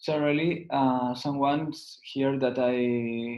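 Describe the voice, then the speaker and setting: A man with a Catalan accent, medium-pitched and utterly monotone in intonation. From Spain. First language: Spanish or Catalan. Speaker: lawyer and business advisor. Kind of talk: webinar presentation. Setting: online webinar. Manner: halting, frequent fillers.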